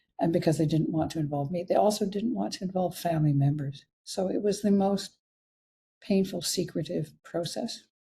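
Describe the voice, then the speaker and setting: A woman with a Canadian accent talks at a fairly quick pace and fairly low pitch, somewhat breathy, with a dark, mellow tone and ordinary pitch variation. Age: 80s+. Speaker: physician. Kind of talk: interview. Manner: halting.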